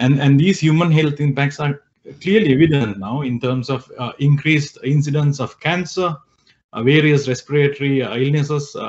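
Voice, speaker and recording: At a moderate pace, a man talks in a somewhat breathy voice with fairly even intonation. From Sri Lanka. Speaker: environmental scientist. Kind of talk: interview. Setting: video call. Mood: calm, serious explanation. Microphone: video call.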